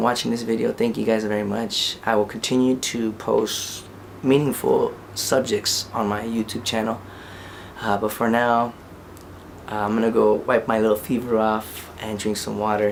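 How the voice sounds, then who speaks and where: Noticeable background noise sits behind a man talking. His pitch is medium and his pace moderate. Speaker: independent rap artist. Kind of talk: casual vlog monologue.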